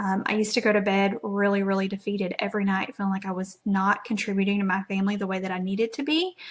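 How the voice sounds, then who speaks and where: A woman with an American accent at a medium pitch, somewhat breathy, at a very fast pace with hardly any pauses and fairly even intonation. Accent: Southeast Texas accent, per others. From Southeast Texas. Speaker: network marketing presenter. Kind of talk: live stream presentation. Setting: live video stream. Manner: casual, filler-heavy (lots of um).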